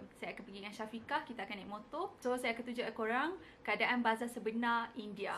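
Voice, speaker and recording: A woman speaks very fast in a fairly high voice. Her intonation stays fairly even. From Malaysia. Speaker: medical student vlogger. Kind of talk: vlog narration.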